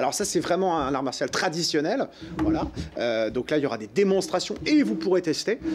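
At a moderate pace and a fairly high pitch, a man speaks with lively intonation over noticeable background noise. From France, Le Mans (Sarthe). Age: 40s. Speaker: TV presenter and festival organizer. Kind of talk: interview. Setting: studio. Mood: relaxed, cheerful. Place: studio.

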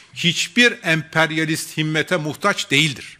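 A man's bright, sharp tone carries ordinary pitch variation against a quiet background. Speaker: party spokesman. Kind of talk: political press statement. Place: hall. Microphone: podium.

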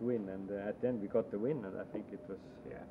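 A man talks fairly quickly and with fairly even intonation while background noise is clearly audible. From Estonia. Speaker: rally driver; guest. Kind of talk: casual chat. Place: home room.

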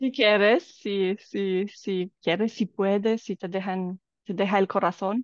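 With a Romanian accent, a woman talks at a very slow pace and medium pitch, her intonation fairly even, in a dry sound with no echo against a quiet background. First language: Romanian (speaking Spanish). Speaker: life coach. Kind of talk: casual chat. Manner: halting. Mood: warm, smiling. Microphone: video call.

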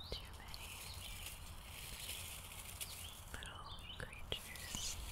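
Soft-spoken whispering at a very slow pace. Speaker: outdoor vlogger. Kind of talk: casual vlog chat. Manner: soft ASMR whisper, close mic. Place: forest. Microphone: handheld.

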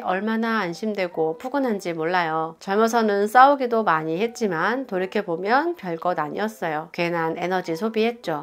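Using a normal speaking voice, a woman talks at a moderate pace in a medium pitch with lively intonation. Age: 40s. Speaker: vlogger. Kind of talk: casual talk to camera, reading comments aloud. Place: home room. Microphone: lapel.

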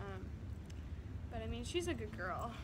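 Loud background noise fills the recording. Through it, a woman is speaking. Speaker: dog trainer. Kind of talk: tutorial. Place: garden. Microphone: phone near.

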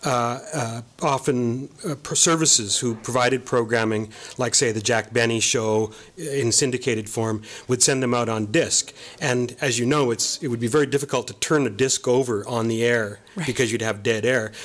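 With a Canadian accent and an ordinary speaking voice, a man talks at a moderate pace, medium in pitch, with fairly even intonation. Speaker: archivist and author. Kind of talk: interview. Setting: studio.

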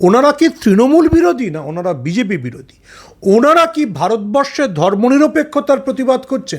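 A man speaks at an extremely high pitch with very wide pitch swings. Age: 50s. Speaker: political commentator. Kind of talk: interview. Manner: animated.

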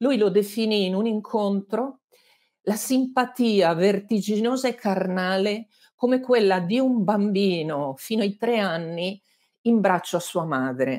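Against a quiet background, a woman with a medium pitch speaks at a fairly slow pace with lively intonation. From Lombardy, Abbiategrasso near Milan; Lombardy. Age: 60s. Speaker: journalist and author; interviewed journalist. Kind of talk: interview. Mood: warm, reflective. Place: home room.

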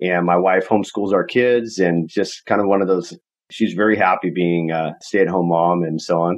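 This man's voice has a very deep, low pitch. He talks at a moderate pace. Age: 30s. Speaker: real estate investor and coach. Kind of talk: casual interview. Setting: video call.

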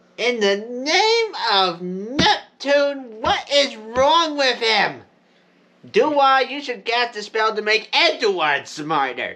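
This cartoonish character voice has a fairly high pitch. It moves at a very slow pace. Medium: puppet show. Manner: excitable.

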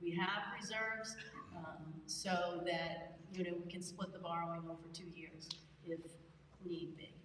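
In a room with audible echo and light background noise, a woman with a fairly low voice talks at a moderate pace. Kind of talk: formal meeting presentation. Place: hall. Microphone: podium.

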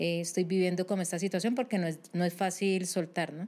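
Her fairly low pitch and monotone, flat intonation mark this woman's speech. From Colombia, Cali. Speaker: psychologist; guest. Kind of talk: interview. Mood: calm, serious explanatory. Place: studio. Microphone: studio mic.

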